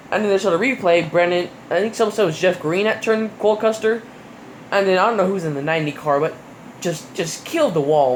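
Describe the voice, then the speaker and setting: The speech goes at a very fast pace amid noticeable background noise. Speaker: YouTuber reviewing NASCAR races. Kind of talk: casual commentary review. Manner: animated, many fillers.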